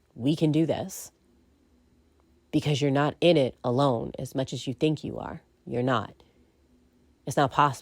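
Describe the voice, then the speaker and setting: A woman with a very deep, low voice and vocal fry speaks at a moderate pace. She leaves long, frequent pauses on a very clean recording with a silent background. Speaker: podcaster and narrator. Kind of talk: casual monologue. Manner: rambling with many fillers.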